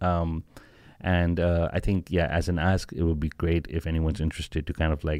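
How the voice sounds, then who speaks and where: A man with a very deep, low pitch, monotone and flat in intonation, at a moderate pace, on a very clean recording with a silent background. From Pakistan. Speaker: startup founder. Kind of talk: interview.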